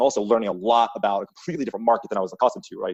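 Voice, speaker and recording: A man with a Long Island accent, at a very fast pace. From US Northeast, Long Island, New York. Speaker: sales leader. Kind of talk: podcast interview.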